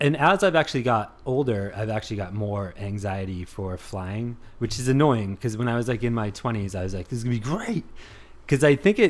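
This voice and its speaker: Lively intonation and a fairly quick pace from a man with an ordinary speaking voice at medium pitch. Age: 30s. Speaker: copywriter and stand-up comedian. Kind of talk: casual chat.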